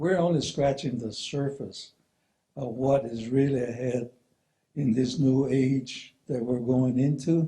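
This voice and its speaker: Speaking at a fairly slow pace, a man with a medium pitch and a dark, mellow tone sounds somewhat breathy, his intonation fairly even. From New Mexico, Zuni Pueblo. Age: 70s. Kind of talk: talk to an audience.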